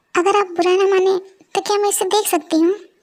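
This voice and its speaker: A woman rattles along at a very fast pace in a put-on character voice with extremely high pitch. Her loudness is very even and her intonation flat and monotone. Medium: audio drama. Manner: soft, polite.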